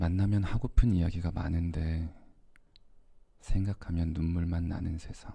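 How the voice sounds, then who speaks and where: A man with a very deep, low pitch and a dark, mellow tone speaks at a fairly slow pace, somewhat breathy, with fairly even intonation and long, frequent pauses. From Korea. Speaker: ASMR creator. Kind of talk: poetry reading. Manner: soft-spoken.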